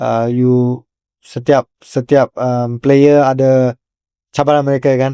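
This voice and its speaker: A man with a dark, mellow tone speaks at medium pitch with fairly even intonation, in a dry, close sound with no echo. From Malaysia, Kajang. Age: 20s. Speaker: professional footballer. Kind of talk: interview. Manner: halting, many fillers.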